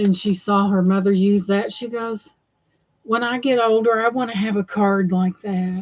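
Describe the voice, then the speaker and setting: A woman with a Southern US accent, medium pitch, fairly even intonation and a fairly slow pace. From US South. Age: 60s. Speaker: thrift haul livestreamer. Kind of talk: casual livestream chat. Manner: rambling conversational.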